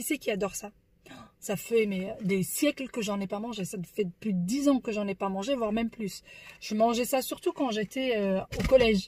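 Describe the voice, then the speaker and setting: A woman's somewhat breathy, fairly high voice at a moderate pace with ordinary pitch variation. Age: 30s. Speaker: family vlogger. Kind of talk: casual vlog monologue. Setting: in a car. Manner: soft-spoken.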